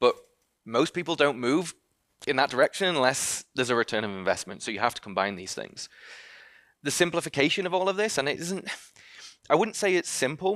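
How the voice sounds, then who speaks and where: In a dry, close recording with no echo, a man talks fairly quickly in a fairly high voice with vocal fry and very wide pitch swings, pausing long and often. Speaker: company founder and CEO. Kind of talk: conference talk. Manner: fast; hesitant, many fillers.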